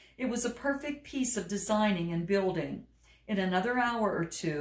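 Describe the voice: Just plain reading aloud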